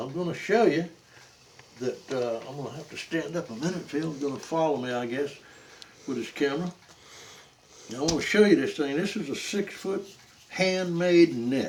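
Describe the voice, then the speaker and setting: With noticeable background noise, a man of fairly high pitch speaks at a moderate pace with lively intonation, long, frequent pauses and big swings in loudness. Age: 80s+. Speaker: cast net maker. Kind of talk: casual demonstration talk. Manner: halting, repetitive.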